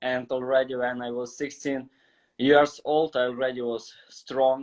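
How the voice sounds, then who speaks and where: In a Ukrainian accent, a man talks at a fairly slow pace and medium pitch with monotone, flat intonation. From Ukraine. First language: Ukrainian or Russian. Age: 20s. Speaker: calisthenics athlete. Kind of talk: casual interview. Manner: halting, non-fluent.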